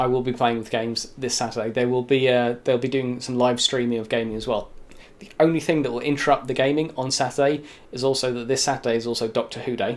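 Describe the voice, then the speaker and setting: A man with a medium-pitched voice and a British accent talks at a very fast pace. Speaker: YouTube show host. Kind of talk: casual monologue to camera. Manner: animated.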